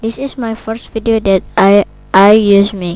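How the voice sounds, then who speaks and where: Speaking at a fairly slow pace, a woman with a non-native accent keeps a monotone, flat intonation. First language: not English. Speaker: gaming video creator. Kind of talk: casual gameplay commentary.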